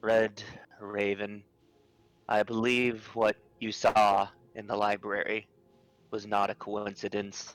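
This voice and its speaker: Putting on a character voice, a man talks at a fairly low pitch and a fairly slow pace with monotone, flat intonation. He leaves long, frequent pauses. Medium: actual play.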